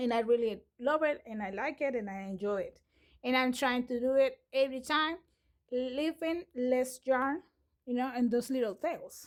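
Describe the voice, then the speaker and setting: Delivered at a moderate pace, the speech shows ordinary variation in pitch. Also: woman, high pitch for a woman. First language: not English. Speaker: crochet tutorial creator. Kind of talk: tutorial. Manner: halting, many fillers and restarts.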